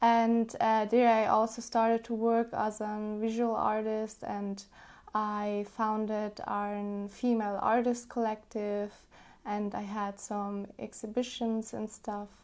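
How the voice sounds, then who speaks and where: Her pitch fairly high, a woman speaks at a very slow pace in a monotone, flat intonation. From South Tyrol, northern Italy. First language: Italian. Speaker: podcast guest, cultural worker. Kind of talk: casual interview. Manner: hesitant, many fillers.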